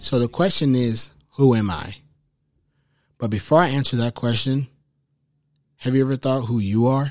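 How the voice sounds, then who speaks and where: Recorded very cleanly against a silent background, a man at medium pitch speaks at a moderate pace with ordinary pitch variation and long, frequent pauses. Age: 20s. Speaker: podcast host. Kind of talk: casual monologue.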